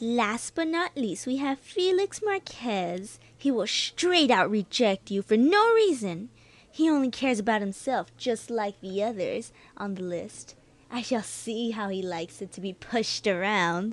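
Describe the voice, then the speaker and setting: At a moderate pace, a female-sounding voice speaks fairly high in pitch in a put-on character voice. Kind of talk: amateur student horror narration. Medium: audio drama. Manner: pleading, then bitter and menacing.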